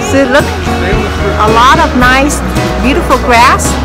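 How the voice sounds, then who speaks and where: A woman talks at a moderate pace over loud background music. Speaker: travel vlogger. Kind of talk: casual vlog chat. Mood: cheerful, enthusiastic. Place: street. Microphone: phone near.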